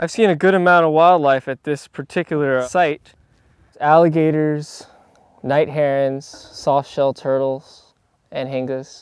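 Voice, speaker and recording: In a plain, everyday voice, a man with an American accent speaks at a fairly slow pace and a fairly high pitch, his intonation fairly even. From South Florida. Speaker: park hydrology technician. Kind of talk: field explainer interview. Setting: outdoors in the marsh.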